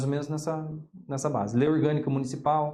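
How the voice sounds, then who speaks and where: A man with a strong Paraná accent, a fairly high pitch and a very fast pace, amid audible room echo. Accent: strong Ponta Grossa (Paraná). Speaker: political science teacher and journalist. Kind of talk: interview. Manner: halting, with frequent repetitions.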